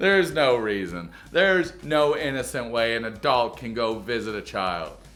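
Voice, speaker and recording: Music plays in the background and the room echo is audible as a man speaks at a moderate pace, his medium-pitched voice swinging very widely. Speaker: YouTube reaction commentator. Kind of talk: comedic video reaction commentary. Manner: stutters over words sometimes; sarcastic, joking.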